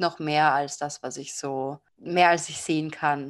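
A woman at a moderate pace, an ordinary speaking voice with ordinary pitch variation, over a quiet background. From Austria. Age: 20s. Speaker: tarot card reader and psychology student. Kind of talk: interview. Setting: video call.

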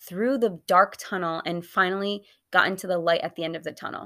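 Very cleanly recorded with a silent background, a woman with an unremarkable speaking voice talks at a medium pitch and moderate pace, her pitch varying in an ordinary way. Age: 20s. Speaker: dietitian podcast host. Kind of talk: personal testimony.

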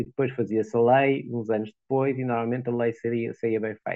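This is a man speaking in a normal speaking voice. His pitch is medium and rises and falls in an ordinary way. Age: 60s. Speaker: lawyer. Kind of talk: interview.

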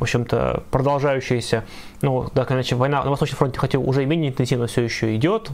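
A man speaks very fast at a medium pitch, with ordinary pitch variation. Noticeable background noise can be heard. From Russia, Ivanovo. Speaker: leftist activist and stream co-host. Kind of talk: live stream discussion.

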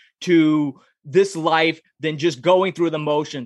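Against a quiet background, a man with a normal speaking voice and a fairly high pitch talks at a fairly slow pace with fairly even intonation. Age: 30s. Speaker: author and podcast host. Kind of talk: casual interview.

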